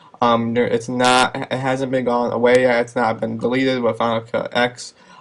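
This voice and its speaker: A man's medium-pitched voice at a moderate pace, over noticeable background noise. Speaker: video blogger. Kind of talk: casual vlog commentary. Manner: hesitant, many fillers. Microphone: some audio muffled.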